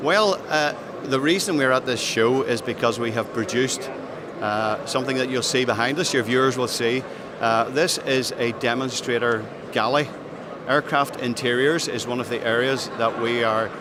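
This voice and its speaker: Noticeable background noise and audible room echo surround this speaker with a Northern Irish accent. The pace is moderate and the pitch variation ordinary. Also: man. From Northern Ireland. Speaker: aerospace business executive. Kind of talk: trade show interview. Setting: trade show floor. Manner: hesitant, many fillers.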